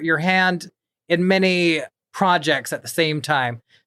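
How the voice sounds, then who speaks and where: Against a very clean recording with a silent background, a man speaks with an American accent in a high pitch and a bright, sharp tone. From Kansas City. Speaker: podcast host. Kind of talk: casual interview chat. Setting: studio.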